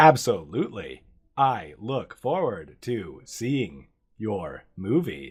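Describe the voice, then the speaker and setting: In a put-on character voice, a man talks at a very slow pace with a medium pitch. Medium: actual play. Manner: formal, polite.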